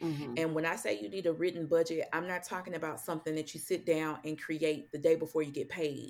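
A woman with an American accent and a very deep, low pitch, ordinary pitch variation, fairly quick pace and hardly any pauses, in a very clean recording over a silent background. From St. Louis, Missouri. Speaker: financial coach. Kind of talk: interview.

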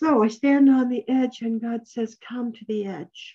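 A woman speaks very slowly in a fairly high, somewhat breathy voice with a dark, mellow tone. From New Mexico. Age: 70s. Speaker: speaker at a recovery meeting. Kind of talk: personal recovery talk. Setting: online video meeting.

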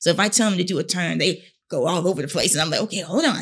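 This very clean recording with a silent background has a woman with an American accent speaking in a fairly low pitch with vocal fry and ordinary pitch variation. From North Carolina. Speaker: teacher and model. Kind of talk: interview conversation.

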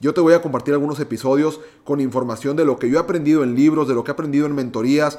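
Talking at a very fast pace, a man has a fairly high pitch and fairly even intonation. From Mexico, Monterrey, Nuevo León. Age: 20s. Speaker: podcast host, entrepreneur. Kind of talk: solo podcast monologue.

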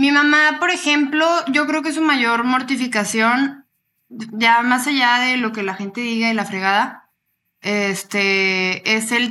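A woman speaks with a fairly high pitch and a bright, sharp tone. The recording is very clean, with a silent background. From Torreón, Coahuila, northern Mexico. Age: 20s. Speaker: model and social media influencer, psychology student. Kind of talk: casual interview.

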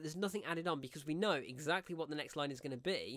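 On a very clean recording with a silent background, a man at fairly high pitch talks at a very fast pace in a bright, sharp tone with ordinary pitch variation. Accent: English Midlands. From English Midlands, near Coventry. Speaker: film reviewer podcast host. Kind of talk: solo film review monologue. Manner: animated.

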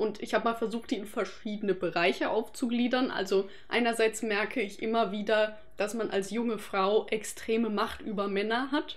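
A woman speaks in a plain, everyday voice, pitched fairly high, with ordinary pitch variation. Her pace is moderate and she hardly pauses at all. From Germany, Freiburg area (Baden). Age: 20s. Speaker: anthropology student. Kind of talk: casual interview chat.

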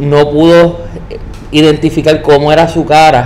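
Noticeable background noise and audible room echo surround a man whose fairly high pitch carries fairly even intonation. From Puerto Rico. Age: 30s. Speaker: storyteller sharing paranormal experiences. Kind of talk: personal storytelling interview.

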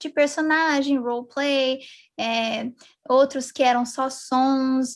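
This woman speaks at a high pitch. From Brazil, São José dos Campos (São Paulo state). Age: 20s. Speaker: ASMR YouTuber. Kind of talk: casual interview chat.

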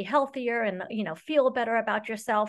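A woman with an American accent and a normal speaking voice talks against a quiet background, her fairly high pitch carrying fairly even intonation. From Saudi Arabia (American expat family). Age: 50s. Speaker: high school Spanish teacher and running coach. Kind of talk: casual interview.

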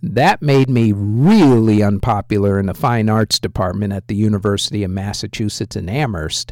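With hardly any pauses, a man talks at a moderate pace in an unremarkable speaking voice, fairly low in pitch with ordinary pitch variation. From born in England to US military family. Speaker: music podcast host. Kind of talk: casual podcast monologue.

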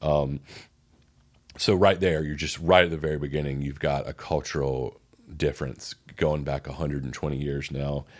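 A man with a Southern US accent and a very deep, low pitch, at a moderate pace in a very clean recording with a silent background. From US South. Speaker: podcast host. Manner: casual, conversational, filler-heavy.

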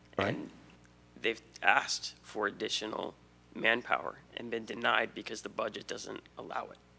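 A man talks at a moderate pace. His loudness swings in big ways. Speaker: resident speaking at public comment. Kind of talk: public comment. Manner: earnest, pleading.

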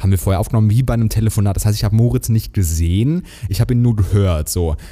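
Here a man speaks with a fairly low pitch. His pitch variation is ordinary. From Germany, Hesse. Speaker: podcast co-host. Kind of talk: casual chat.

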